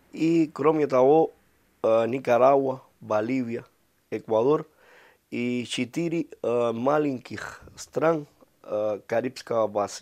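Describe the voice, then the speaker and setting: Speaking at a very slow pace with a Spanish accent, this voice has ordinary pitch variation. Long, frequent pauses break up the speech against a quiet background. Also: man, medium pitch for a man. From Cuba. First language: Spanish (speaking Russian). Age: 40s. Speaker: ambassador. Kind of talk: interview. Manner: halting, many hesitations.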